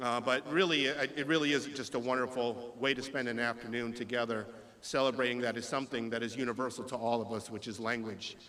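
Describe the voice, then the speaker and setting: A man talks at a very fast pace and medium pitch. His delivery is monotone and flat, with audible room echo. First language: Spanish. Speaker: state legislator. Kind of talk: public speech; reading aloud. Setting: stage with audience. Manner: hesitant, with fillers.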